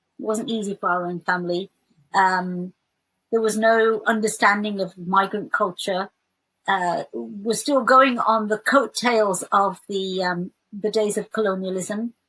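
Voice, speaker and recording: In a West Midlands accent, a woman talks at a fairly slow pace with a medium pitch and fairly even intonation. The sound is dry and close, with no echo. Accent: British English, West Midlands. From England, West Midlands. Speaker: theologian. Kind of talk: interview. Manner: hesitant fillers.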